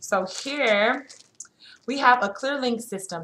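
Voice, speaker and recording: This is a normal speaking voice at a moderate pace. Its pitch varies an ordinary amount. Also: woman. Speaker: nursing student vlogger. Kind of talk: casual show-and-tell vlog.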